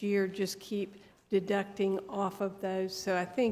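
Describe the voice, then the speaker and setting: A soft-spoken woman of medium pitch, monotone and flat in intonation, at a fairly slow pace. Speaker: business owner presenting to county commission. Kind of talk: public meeting presentation. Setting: county commission board room. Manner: halting. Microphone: too quiet, mic needed lowering.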